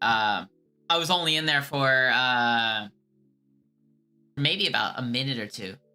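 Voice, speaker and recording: Someone with an American accent speaks at a fairly slow pace, leaving long, frequent pauses. Music plays in the background. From USA. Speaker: streamer who calls scammers. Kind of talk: live stream chat, reading chat. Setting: live stream. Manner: casual, hesitant with many fillers.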